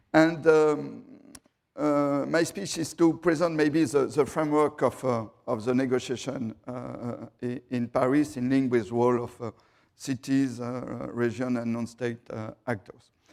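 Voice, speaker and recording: A man with a strong French accent talks at a fairly slow pace. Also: medium pitch for a man, ordinary pitch variation. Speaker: city councillor. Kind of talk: panel presentation. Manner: halting.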